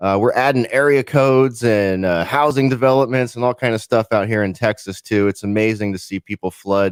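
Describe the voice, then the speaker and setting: A man with a plain, everyday voice talks at a fairly quick pace, his fairly low pitch showing ordinary variation. The recording is very clean with a silent background, and the sound is dry and close with no echo. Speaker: podcast producer. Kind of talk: podcast talk.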